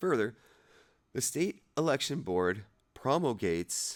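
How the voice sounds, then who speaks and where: A man speaks at a fairly slow pace on a very clean recording with a silent background. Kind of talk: casual read-aloud of a legal document. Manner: halting, stumbling over words.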